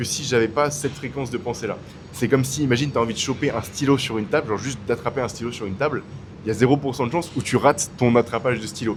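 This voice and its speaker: A man with a mid-range pitch rattles along very fast despite noticeable noise in the background. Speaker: YouTuber. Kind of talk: casual vlog talk. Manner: loud; casual, hesitant with fillers.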